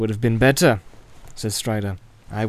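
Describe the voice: The text is given plain reading aloud, with intonation kept fairly even.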